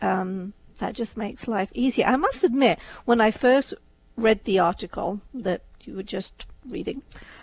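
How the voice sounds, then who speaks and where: A woman's fairly slow speech shows ordinary pitch variation. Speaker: radio co-host. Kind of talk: casual chat. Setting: studio. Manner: soft-spoken.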